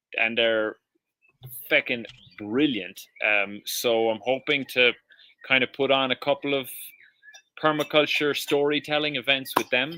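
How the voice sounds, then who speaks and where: A man with a Cork accent and medium pitch speaks at a fairly slow pace with long, frequent pauses, a bright, sharp tone, very even loudness and fairly even intonation, in a dry, close sound with no echo. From Ireland, Cork. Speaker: permaculture educator and restaurant owner. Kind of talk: casual chat. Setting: live stream.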